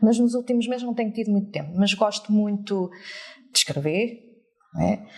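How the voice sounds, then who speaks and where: Long, frequent pauses mark this woman's speech in a European Portuguese accent. Her fairly high pitch varies in an ordinary way at a moderate pace. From France until about 8, then Portugal. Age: 40s. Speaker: teacher. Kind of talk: interview. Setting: live audience.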